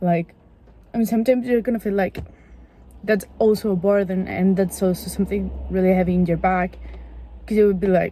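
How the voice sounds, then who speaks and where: A woman's medium-pitched, dark, mellow and somewhat breathy voice in a non-native accent, at a fairly quick pace with fairly even intonation and long, frequent pauses. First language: not English. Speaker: vlogger. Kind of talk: casual chat. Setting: in a car. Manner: halting.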